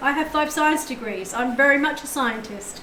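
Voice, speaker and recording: A raised, projected voice carries over noticeable background noise and audible room echo. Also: woman. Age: 60s. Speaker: tarot reader. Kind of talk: live stream tarot reading.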